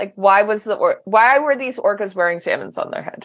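An unremarkable speaking voice with lively intonation. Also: woman. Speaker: podcast co-host. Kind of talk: casual chat.

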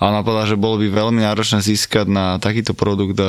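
A man's fairly low, monotone, flat delivery at a fairly quick pace. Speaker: podcast host. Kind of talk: interview.

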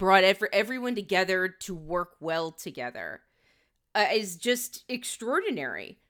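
A woman speaks in a normal speaking voice at medium pitch, fairly slowly and with lively intonation, on a very clean recording with a silent background. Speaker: podcast co-host, sports writer. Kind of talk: casual sports recap chat.

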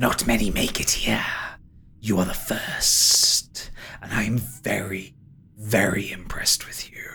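A man whispers in a put-on character voice with a menacing tone. He speaks at a fairly slow pace. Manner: taunting, menacing.

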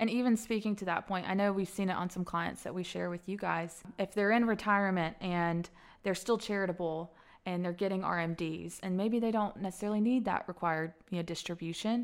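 A woman with a Southern US accent speaks fairly quickly at a medium pitch and fairly even intonation, in a very clean recording with a silent background. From Alabama. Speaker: accountant. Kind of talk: interview.

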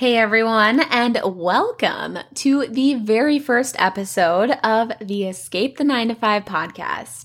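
With lively intonation, a woman speaks at a fairly high pitch and a fairly slow pace on a very clean recording with a silent background.

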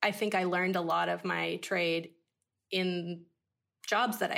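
Vocal fry runs through the speech. Behind it, the background is silent and the recording very clean. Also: woman. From US South, southern Arkansas. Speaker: PR manager. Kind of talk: interview.

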